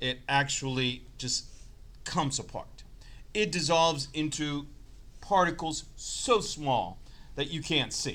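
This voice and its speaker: Speaking at a very slow pace with long, frequent pauses, a man with a fairly high pitch and a bright, sharp tone shows ordinary pitch variation against audible room echo. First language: not English. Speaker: chemistry teacher. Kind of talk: lecture.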